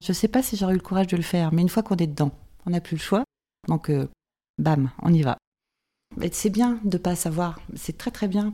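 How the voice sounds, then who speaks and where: With long, frequent pauses yet a fairly quick pace, a woman speaks at a fairly low pitch in a dark, mellow tone with ordinary pitch variation, in a very clean recording with a silent background. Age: 50s. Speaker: winegrower. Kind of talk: interview.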